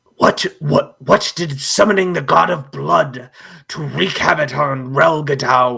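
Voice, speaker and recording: This man's voice is a put-on character voice. His pitch is medium. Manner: indignant, questioning.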